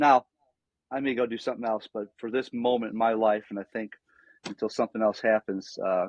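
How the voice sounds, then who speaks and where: A man with an American accent speaks in an ordinary speaking voice at medium pitch and a fairly quick pace. His intonation stays fairly even, and the sound is dry and close with no echo. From western New York (Niagara Falls, near Buffalo). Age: 60s. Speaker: former pastor, nonprofit founder. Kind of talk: podcast interview.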